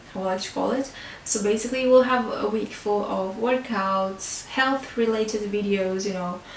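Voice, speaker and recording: A woman with a non-native accent talks at a moderate pace with fairly even intonation, with audible room echo and light background noise. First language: not English. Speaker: beauty and fitness vlogger; fitness vlogger. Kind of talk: educational talk to camera. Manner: hesitant, many fillers; simple, easy English. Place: home room.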